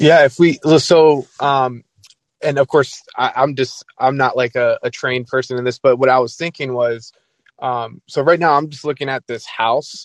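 A normal speaking voice at a moderate pace, fairly even in intonation, with a dry, close sound and no echo. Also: man. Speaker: caller. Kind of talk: casual chat.

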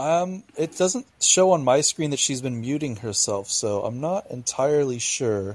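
A normal speaking voice with lively intonation. The pace is fairly slow. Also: man, fairly high pitch for a man. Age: 20s. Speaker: podcast co-host. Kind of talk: casual chat.

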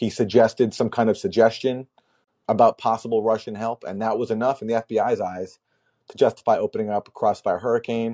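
A man speaks in a plain, everyday voice at a medium pitch, with fairly even intonation and a fairly quick pace. The sound is dry and close with no echo, over a quiet background. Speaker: political podcast host. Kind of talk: call-in show, monologue and debate. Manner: opinionated, conversational.

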